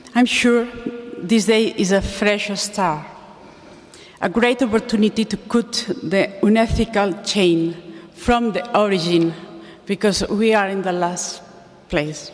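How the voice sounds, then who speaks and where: Over noticeable background noise, the speaker moves at a fairly slow pace with long, frequent pauses. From Spain. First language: Spanish. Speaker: animal welfare campaigner. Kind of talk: conference talk. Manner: halting.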